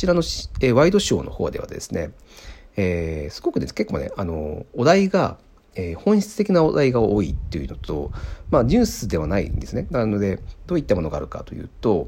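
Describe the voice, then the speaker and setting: Fairly quick speech from a man, its loudness swinging widely. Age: 30s. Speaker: podcast host, software engineer. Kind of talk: casual solo talk. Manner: hesitant, many fillers.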